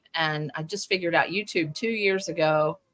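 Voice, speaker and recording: Pitch shifts an ordinary amount in a tone that is bright and sharp. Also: woman. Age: 60s. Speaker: crochet pattern designer. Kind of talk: interview.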